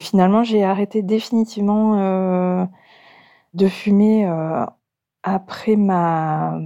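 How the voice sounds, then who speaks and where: A woman's medium-pitched voice, dark and mellow, at a very slow pace with fairly even intonation, long and frequent pauses, and a quiet background. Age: 40s. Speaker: mother giving testimony. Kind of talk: testimony. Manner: halting.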